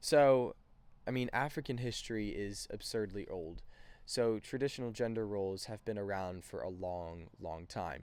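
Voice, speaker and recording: A man speaks at a moderate pace with a fairly low pitch and ordinary pitch variation. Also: very clean recording, silent background. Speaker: student. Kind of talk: class presentation podcast, partly scripted. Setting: outdoors on a porch. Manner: halting, many fillers.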